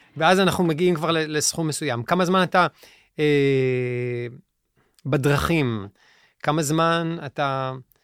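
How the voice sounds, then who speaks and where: At a very slow pace with long, frequent pauses, a man speaks on a very clean recording with a silent background. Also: ordinary pitch variation. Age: 40s. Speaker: musician and life coach. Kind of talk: interview conversation. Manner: halting.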